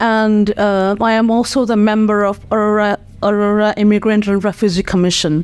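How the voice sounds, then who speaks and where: A woman with a Nepali accent, medium pitch, monotone, flat intonation, very even loudness and a moderate pace. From Nepal, Kathmandu. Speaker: nonprofit community leader. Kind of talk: interview. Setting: podcast studio. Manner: hesitant, many fillers.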